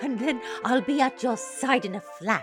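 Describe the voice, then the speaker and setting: In a put-on character voice with fairly high pitch, the speaker keeps a moderate pace while clear music plays in the background. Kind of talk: children's theater character voice. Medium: read story. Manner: hooting, fussy, affectionate.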